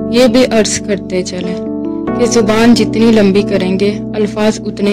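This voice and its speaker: A woman's voice at a medium pitch, with music in the background. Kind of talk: poetry reading.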